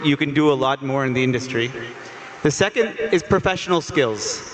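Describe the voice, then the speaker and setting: With an American accent, a man speaks at a moderate pace and a fairly high pitch, using ordinary pitch variation amid noticeable background noise. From United States. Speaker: sports education executive. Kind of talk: panel discussion. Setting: stage with audience.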